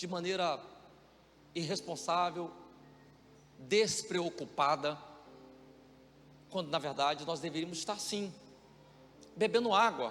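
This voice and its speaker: A man's high-pitched voice at a fairly slow pace, with ordinary pitch variation and music in the background. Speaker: pastor. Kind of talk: sermon. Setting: church.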